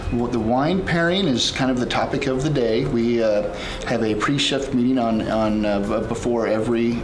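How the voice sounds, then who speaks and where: Over noticeable background noise, a man talks at a moderate pace with ordinary pitch variation and very even loudness. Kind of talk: interview answer. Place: bar.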